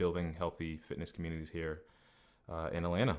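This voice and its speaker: A man speaks at a fairly quick pace. He has a slight Boston accent. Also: very clean recording, silent background. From New England. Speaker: personal trainer. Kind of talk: podcast interview.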